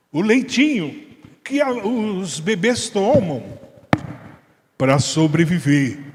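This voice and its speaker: Very slowly, a man talks with very wide pitch swings. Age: 70s. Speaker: Bible study teacher. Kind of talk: Bible study discussion.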